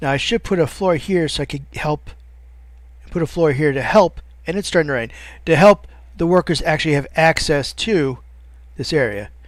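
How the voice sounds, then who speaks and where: A man mumbles at a moderate pace, fairly high-pitched with ordinary pitch variation. He takes long, frequent pauses in a very clean recording with a silent background. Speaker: let's play gamer. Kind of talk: gameplay commentary. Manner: mumbling; halting.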